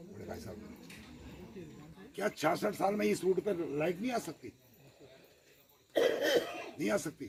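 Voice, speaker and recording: Big swings in loudness mark a man's speech over noticeable background noise. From Uttarakhand, India (Dehradun). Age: 60s. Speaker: retired army man speaking at political meeting. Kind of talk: public speech at village meeting.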